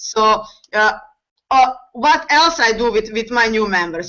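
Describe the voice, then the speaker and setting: Speaking with a non-native accent, a woman keeps a fairly high pitch that varies in an ordinary way. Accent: foreign accent, non-native English. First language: not English. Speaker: network marketing distributor. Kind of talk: panel discussion on video call. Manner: halting, many fillers.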